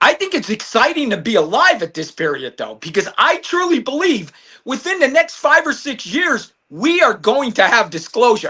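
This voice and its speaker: Raised and projected, a man's animated voice has a bright, sharp tone and very wide pitch swings at a moderate pace. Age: 50s. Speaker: retired detective. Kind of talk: casual chat.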